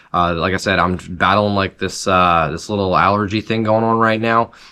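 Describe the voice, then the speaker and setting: This man's voice sits fairly low and has a bright, sharp tone. He talks at a fairly quick pace with fairly even intonation. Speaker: car enthusiast podcast host. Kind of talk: casual chat. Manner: filler-heavy, hesitant.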